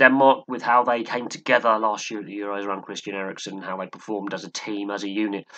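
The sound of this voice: At a fairly quick pace, a man speaks with a fairly low pitch, fairly even intonation and a bright, sharp tone.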